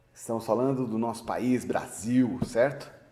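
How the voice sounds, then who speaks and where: With a dark, mellow tone, a man speaks at a very slow pace amid audible room echo. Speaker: university professor. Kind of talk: lecture. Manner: halting, with fillers; casual, joking.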